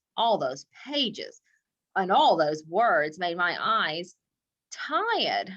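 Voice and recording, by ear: A woman speaks slowly in a fairly bright tone, her pitch swinging widely up and down.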